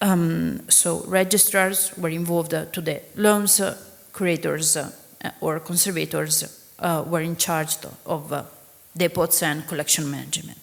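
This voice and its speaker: A woman with an Italian accent speaks at a fairly low pitch in flat, monotone intonation. Audible room echo surrounds her voice. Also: fairly slow pace. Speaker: museum registrar. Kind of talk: conference talk. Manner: halting.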